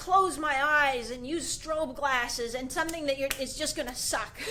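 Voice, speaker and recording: A woman with a high pitch speaks in a raised, projected voice. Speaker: goalie trainer. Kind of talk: live video tutorial. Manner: animated.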